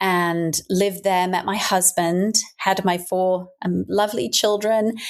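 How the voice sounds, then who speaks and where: Using an English accent, a woman with a medium pitch speaks at a fairly slow pace, her intonation fairly even and her loudness very even. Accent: English accent, noticeable. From London then eastern US (Washington DC, Connecticut). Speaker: breastfeeding charity founder. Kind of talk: podcast interview.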